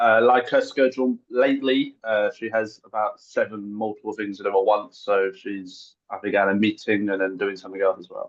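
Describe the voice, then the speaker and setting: A man with a strong English accent talks with hardly any pauses and fairly even intonation, his loudness swinging widely. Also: moderate pace. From England, Essex. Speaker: guest speaker, language student. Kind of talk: online presentation. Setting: video call.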